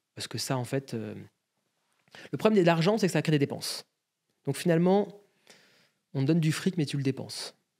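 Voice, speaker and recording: A man's fairly high-pitched voice with a dark, mellow tone and lively intonation. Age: 30s. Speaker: agency CEO. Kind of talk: interview.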